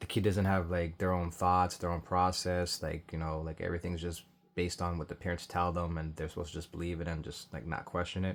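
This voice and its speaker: Mumbling at a very fast pace with hardly any pauses, a man speaks in a very deep, low voice with monotone, flat intonation. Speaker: commentary vlogger. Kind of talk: casual reaction commentary. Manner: hesitant, many fillers; tends to mumble and speak low.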